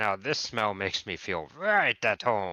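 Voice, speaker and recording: A man puts on a character voice with fairly low pitch, speaking at a fairly slow pace against a quiet background. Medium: actual play. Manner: hearty, jovial.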